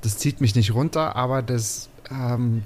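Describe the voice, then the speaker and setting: A somewhat breathy man's voice of medium pitch, dark and mellow in tone, with fairly even intonation on a very clean recording with a silent background. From Mecklenburg, Waren an der Müritz. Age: 30s. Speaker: podcast host as guest. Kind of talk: casual interview chat. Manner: talkative.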